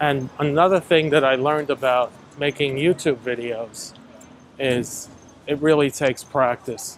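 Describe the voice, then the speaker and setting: A man with an American accent uses a plain, everyday voice, fairly high in pitch, at a fairly slow pace with fairly even intonation. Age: 60s. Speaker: YouTube walking vlogger. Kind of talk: casual vlog monologue while walking. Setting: outdoors walking in the city.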